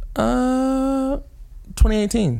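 A man is speaking. He has a New Jersey accent. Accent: New Jersey American English. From US Northeast, New Jersey. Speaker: podcast host. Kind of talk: casual chat.

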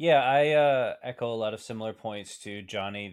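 Speaking in a normal speaking voice, a man moves at a moderate pace with ordinary pitch variation. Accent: American. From New Jersey. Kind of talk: casual chat.

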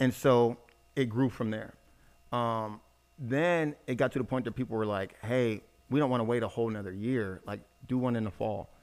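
This man has a normal speaking voice with ordinary pitch variation. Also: medium pitch for a man, moderate pace. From born in Germany, raised in US military family. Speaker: entrepreneur event company CEO. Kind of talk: casual interview.

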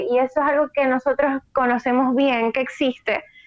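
Music plays in the background. Over it, a woman talks at a fairly slow pace in a high pitch. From Venezuela, Maracaibo. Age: 20s. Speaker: prospective emigrant. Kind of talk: casual conversation.

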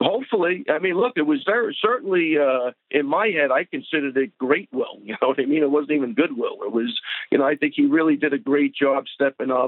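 An ordinary speaking voice from a man, fairly high-pitched and fairly quick, with lively intonation and hardly any pauses. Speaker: coach. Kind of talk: interview.

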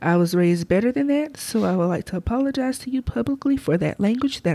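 A woman with a Southern US accent talks very fast in a medium-pitched voice with a dark, mellow tone and very wide pitch swings. The recording is very clean, with a silent background. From southwest Alabama. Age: 30s. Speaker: podcast co-host. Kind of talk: casual chat. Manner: laughs often.

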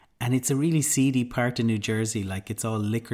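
A man's medium-pitched voice with an Irish accent and fairly even intonation, on a very clean recording with a silent background. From Ireland. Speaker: podcast host, mindfulness teacher. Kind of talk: casual storytelling; guided meditation.

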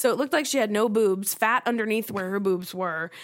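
A woman's normal speaking voice with an American accent, fairly high in pitch with ordinary pitch variation, at a moderate pace, on a very clean recording with a silent background. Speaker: guest co-host, host's childhood friend. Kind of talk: casual chat.

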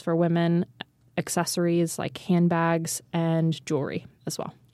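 Fairly low-pitched female voice with a dark, mellow tone at a fairly slow pace, in a very clean recording with a silent background. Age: 20s. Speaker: founder and CEO of an ethical goods company. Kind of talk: interview conversation. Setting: studio.

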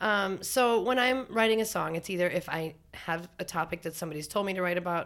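Speaking with an American accent, a woman moves at a fairly quick pace, her pitch fairly low with ordinary variation. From North Dakota. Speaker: singer-songwriter. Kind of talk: casual chat.

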